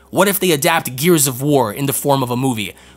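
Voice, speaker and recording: A man's animated voice over noticeable background noise. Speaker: podcast host. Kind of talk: angry rant about a movie. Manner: heated, exasperated, swearing; animated, emphatic, disbelieving.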